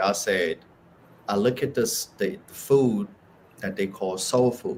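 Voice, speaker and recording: A man with a Haitian accent speaks at a fairly slow pace. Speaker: spiritual speaker. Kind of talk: casual chat.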